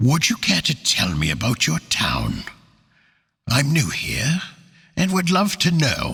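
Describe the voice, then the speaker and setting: Using a put-on character voice with a fairly high pitch, a man speaks fairly slowly with long, frequent pauses. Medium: read story. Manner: polite, formal.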